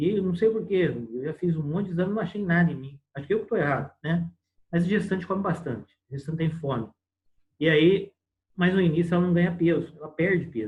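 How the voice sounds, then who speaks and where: Speaking at a very fast pace, a man with a high pitch shows ordinary pitch variation. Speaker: medical lecturer (obstetrics). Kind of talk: lecture. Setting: online class on video call.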